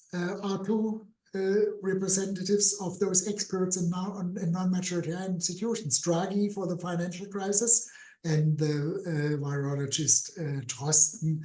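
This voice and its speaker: With a German accent, a man talks at a moderate pace and a high pitch with ordinary pitch variation. Noticeable background noise sits behind him. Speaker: political scientist. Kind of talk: webinar Q&A answer. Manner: hesitant, many fillers.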